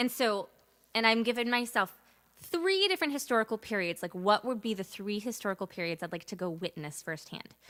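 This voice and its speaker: Bright and sharp in tone, a woman with an American accent speaks fairly quickly at a fairly high pitch, the sound dry and close with no echo in a very clean recording with a silent background. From Massachusetts, US. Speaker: singer-songwriter livestreaming. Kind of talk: casual livestream chat.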